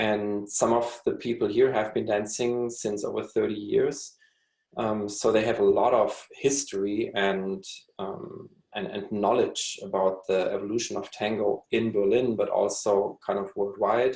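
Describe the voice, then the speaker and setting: In a German accent, a man speaks at a fairly slow pace. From Germany. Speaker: tango dancer. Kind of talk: interview. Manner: halting.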